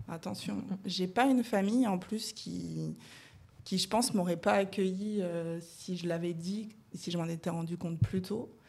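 A woman speaks at a medium pitch and a fairly slow pace, her tone dark, mellow and somewhat breathy, with ordinary pitch variation. The recording is very clean, with a silent background. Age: 30s. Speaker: guest sharing coming-out story. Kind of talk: casual chat.

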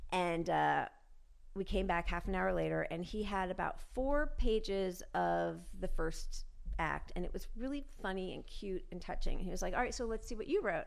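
With an American accent, a woman talks at a moderate pace while room echo is audible around her. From New York. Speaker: actress. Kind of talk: casual chat.

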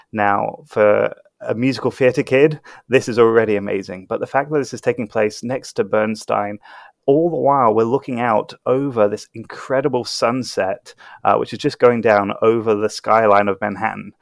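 A man with a normal speaking voice talks at a moderate pace, his pitch medium with ordinary variation. The recording is very clean and dry, close with no echo and a silent background. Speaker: critic. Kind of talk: casual chat.

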